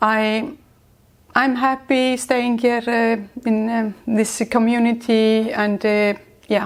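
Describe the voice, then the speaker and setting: A woman with an Icelandic accent at a very slow pace, fairly high pitch, monotone, flat intonation, and very even loudness. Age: 60s. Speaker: entrepreneur. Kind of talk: interview. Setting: on location in Iceland. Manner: halting.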